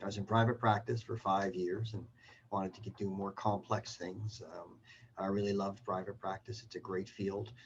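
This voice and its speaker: Somewhat breathy and fairly low-pitched, a man talks with a Canadian accent. His intonation stays fairly even at a moderate pace. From Canada. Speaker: surgeon and professor. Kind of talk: self-introduction. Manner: halting with many fillers.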